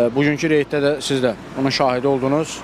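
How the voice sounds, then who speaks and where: Over noticeable background noise, a man speaks at a moderate pace in a monotone, flat way, the sound dry with no echo. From Azerbaijan. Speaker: traffic police officer; interviewee commenting on traffic enforcement. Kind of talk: news interview. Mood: serious, critical. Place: street. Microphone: handheld.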